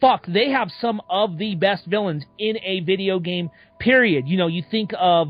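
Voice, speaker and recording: Music plays in the background as a woman speaks at a fairly slow pace. She has a medium pitch and lively intonation. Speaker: gaming podcast host. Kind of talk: casual chat.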